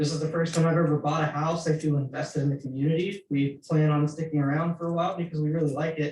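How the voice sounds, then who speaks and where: A man's fairly high voice, monotone and flat, very fast with hardly any pauses and very even loudness. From Houston suburbs, Texas. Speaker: committee member, resident. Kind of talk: public meeting discussion.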